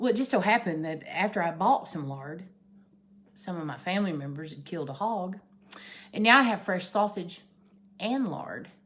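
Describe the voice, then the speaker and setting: A woman's medium-pitched voice in an Appalachian accent, with lively intonation, a moderate pace, long, frequent pauses and big swings in loudness. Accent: Appalachian Southern US. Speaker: vlogger. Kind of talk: casual chat.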